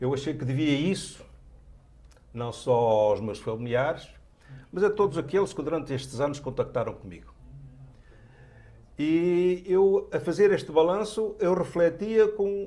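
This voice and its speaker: A man with a European Portuguese accent speaks at a high pitch in a dark, mellow tone. His intonation is lively, his pace fairly slow, with long, frequent pauses. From Portugal. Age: 70s. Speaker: writer. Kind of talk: TV interview.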